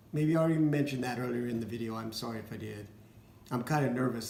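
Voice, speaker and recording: A somewhat breathy man with ordinary pitch variation, plus audible room echo. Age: 60s. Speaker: vlogger with cystic fibrosis. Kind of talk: casual personal vlog. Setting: dining room at home. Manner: halting, with fillers.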